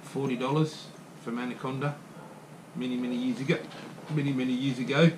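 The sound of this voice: Against faint background noise, a man speaks at a moderate pace with a medium pitch.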